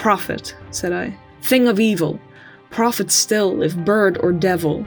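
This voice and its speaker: With music in the background, a woman speaks at a fairly low pitch. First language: not English. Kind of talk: poetry reading.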